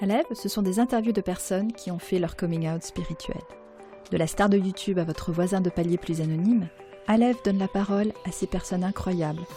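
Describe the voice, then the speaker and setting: Music plays in the background as a woman speaks at a fairly quick pace, her medium pitch varying in an ordinary way. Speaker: podcast host. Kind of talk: podcast intro read.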